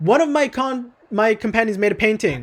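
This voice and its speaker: A man puts on a character voice that is high-pitched and breathy. He talks at a moderate pace with lively intonation. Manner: whimsical and playful.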